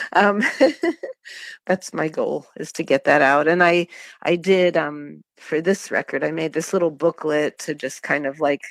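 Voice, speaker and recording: This woman's very deep, low voice, in an American accent, moves at a fairly slow pace with fairly even intonation, recorded dry and close with no echo and a silent background on a very clean track. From Pittsburgh, US. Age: 50s. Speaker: singer-songwriter. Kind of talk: interview. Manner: hesitant with fillers.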